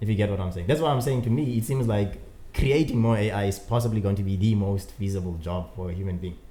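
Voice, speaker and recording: A man with a non-native accent speaks at a very fast pace in a fairly low, somewhat breathy voice with a dark, mellow tone and ordinary pitch variation. Audible room echo surrounds his speech. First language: not English. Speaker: podcast co-host. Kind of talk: casual chat.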